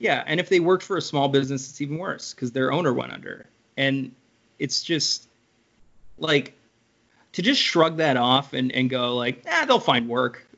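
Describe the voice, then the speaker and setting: The man talks at a moderate pace. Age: 30s. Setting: video call.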